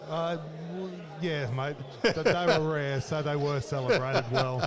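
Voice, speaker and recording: A man with a fairly high pitch, ordinary pitch variation and a fairly slow pace, with an Australian accent and noticeable background noise. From Australia, Casino, northern New South Wales. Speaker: former rugby league player. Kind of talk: casual interview. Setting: reunion luncheon at a bar and grill. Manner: halting, many fillers.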